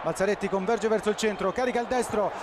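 An animated, passionate voice comes through over noticeable background noise. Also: man. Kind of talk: live sports commentary on a football match. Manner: rapid-fire, excitable, rising to a shout on goals with repeated player names; animated, breathless play-by-play, passionate.

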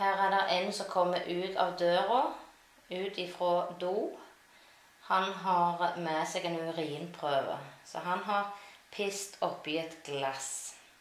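A woman's fairly low voice at a very slow pace, with long, frequent pauses and noticeable background noise. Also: fairly even intonation. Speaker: language teacher. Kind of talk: language lesson explaining pictures.

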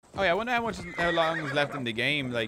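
A man speaks with an Irish accent. Light background noise can be heard. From Ireland. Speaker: game streamer. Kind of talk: casual gaming commentary. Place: home room. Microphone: studio mic.

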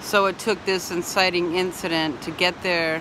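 Noticeable background noise sits behind a woman whose voice has a dry sound with no echo. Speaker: van life vlogger. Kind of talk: casual vlog chat. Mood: reflective, earnest. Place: beach. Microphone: phone near.

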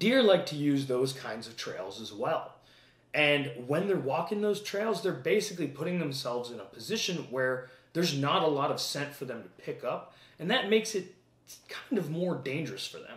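A man speaks at a moderate pace, his loudness swinging widely, with audible echo from the room. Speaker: hunting channel host. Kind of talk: tutorial. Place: home room. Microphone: camera far.

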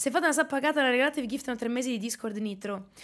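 At a very fast pace, the speaker sounds animated, with ordinary pitch variation over a quiet background. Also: woman. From Milan, Italy. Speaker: streamer and illustrator. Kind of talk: casual livestream chat. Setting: home livestream at desk. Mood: amused, laughing. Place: home room. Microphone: studio mic.

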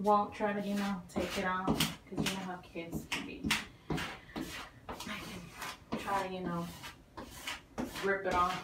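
Fairly slow speech over loud background noise. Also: woman. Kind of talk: casual vlog chat. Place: bathroom.

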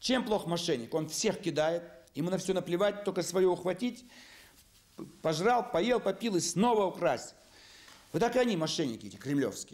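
A man's moderate-paced speech is broken by long, frequent pauses. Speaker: politician. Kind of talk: interview answer. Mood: indignant, accusatory. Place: office.

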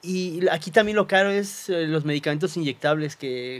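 A man talks at a moderate pace in a fairly high voice. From Cuernavaca, Mexico; Mexico. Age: 30s. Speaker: physician and social media creator; social media creator. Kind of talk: testimony. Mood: earnest, recounting painful loss. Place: studio. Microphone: studio mic.

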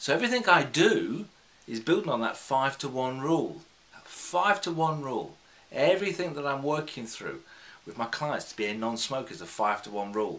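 Speaking with a British accent, a man has a fairly high pitch and a moderate pace. His pitch swings very widely and his loudness varies a lot. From UK. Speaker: hypnotherapist; hypnotherapist trainer. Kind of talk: tutorial. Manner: unscripted, conversational. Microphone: phone near.

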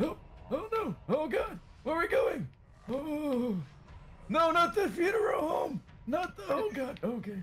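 A man does a creaky put-on character voice at a fairly slow pace with long, frequent pauses, over clear background noise. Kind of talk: comic overacting. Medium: game stream. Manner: rambling, excitable, doddering.

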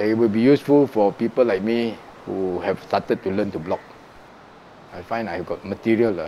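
A man's dark, mellow, fairly low-pitched voice with a Singaporean accent and long, frequent pauses over light background noise. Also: ordinary pitch variation, moderate pace. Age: 60s. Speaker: retired musician, teacher and blogger. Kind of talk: interview answer. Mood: warm, reflective. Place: home room. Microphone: lapel.

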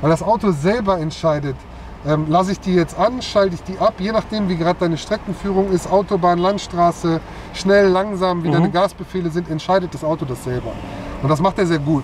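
Speech comes at a fairly quick pace. The sound is dry with no echo, over light background noise. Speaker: car salesman or expert. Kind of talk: explanatory product demonstration. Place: car.

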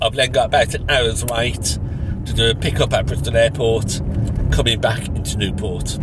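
Over noticeable background noise, a man speaks at a fairly slow pace with a dry sound and no echo. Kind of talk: casual vlog chat. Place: car. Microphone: phone near.

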